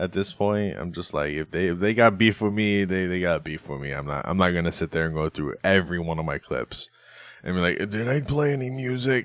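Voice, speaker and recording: At a fairly quick pace, a man with a very deep, low pitch speaks with lively intonation. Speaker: podcast host. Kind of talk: casual chat.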